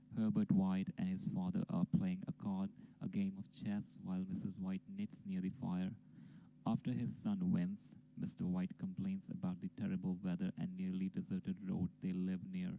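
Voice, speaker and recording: A non-native accent at a moderate pace. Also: man. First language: not English. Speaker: amateur story narrator. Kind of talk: casual intro; reading aloud.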